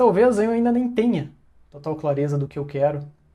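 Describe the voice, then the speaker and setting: With a dark, mellow tone and lively intonation, a man speaks at a fairly slow pace. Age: 30s. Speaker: design business owner, self-improvement vlogger. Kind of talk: motivational monologue. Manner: casual, with hesitations.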